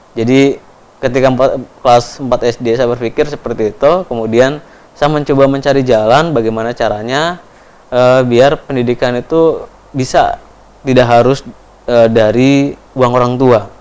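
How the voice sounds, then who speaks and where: This man's speech moves at a moderate speed. The rise and fall of his voice stays fairly even. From Papua, Indonesia (Timika); Papua, Indonesia. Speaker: education foundation speaker; speaker. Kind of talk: interview testimony. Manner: hesitant, many fillers. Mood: calm, reflective storytelling. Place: studio.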